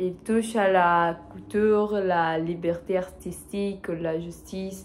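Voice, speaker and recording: Speaking very slowly with a non-native accent, a woman uses a medium pitch and ordinary pitch variation. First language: not French (speaking French). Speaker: French learner vlogger. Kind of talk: solo monologue for language practice. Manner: halting, many hesitations.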